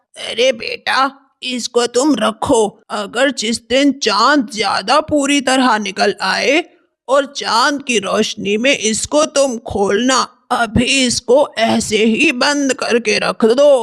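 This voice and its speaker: In a cartoonish character voice, a man speaks at a very slow pace with an extremely high pitch and very even loudness. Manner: pleading, frail when in disguise.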